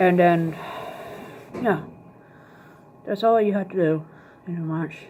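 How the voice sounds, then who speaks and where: Mumbling at a fairly slow pace, a woman with a fairly low pitch keeps her intonation fairly even amid noticeable background noise. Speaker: video blogger. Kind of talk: tutorial. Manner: casual.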